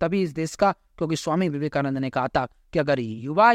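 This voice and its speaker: A man talks in an animated tone at a moderate pace, with a fairly high pitch and ordinary pitch variation. The sound is dry and close with no echo, over a quiet background. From Uttar Pradesh, India. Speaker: youth speaker, gurukul-educated. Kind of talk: interview, speech-like oratory.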